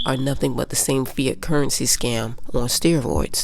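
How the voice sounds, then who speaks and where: A woman speaks over noticeable background noise. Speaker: finance YouTuber. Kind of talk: commentary monologue. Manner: animated.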